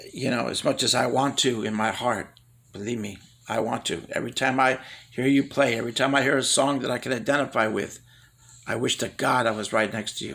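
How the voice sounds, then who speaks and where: Here a man talks in a plain, everyday voice at a medium pitch. His pace is fairly quick and his intonation fairly even. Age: 60s. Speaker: amateur musician. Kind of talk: personal video message. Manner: earnest.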